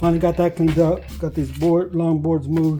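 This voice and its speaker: Music in the background accompanies a man speaking at a moderate pace. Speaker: woodworker. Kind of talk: casual talk to camera. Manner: rambling, hesitant.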